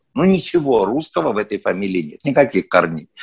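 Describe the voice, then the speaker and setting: A man's pitch swings very widely as he talks over a quiet background. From Soviet Union. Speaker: actor. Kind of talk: interview.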